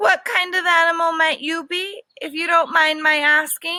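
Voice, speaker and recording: The voice sits at an extremely high pitch. Its pace is moderate. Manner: calm.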